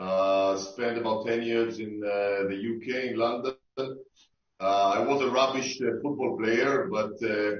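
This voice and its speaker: The speaker has an Israeli accent and a fairly slow pace. Pitch variation is ordinary. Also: man, medium pitch for a man. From Israel, Tel Aviv. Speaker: sports tech investor. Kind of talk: panel discussion. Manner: halting, many fillers.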